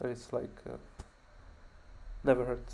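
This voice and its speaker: With a non-native accent, a man speaks in a dark, mellow tone at medium pitch with monotone, flat intonation. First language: not English. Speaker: programmer learning machine learning on stream. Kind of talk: casual screen-share walkthrough. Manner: halting, many fillers and repeats.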